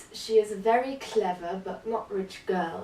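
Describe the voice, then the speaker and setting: A woman speaks with a non-native accent at a medium pitch. Noticeable background noise is present. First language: not English. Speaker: book vlogger. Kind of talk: casual book review monologue.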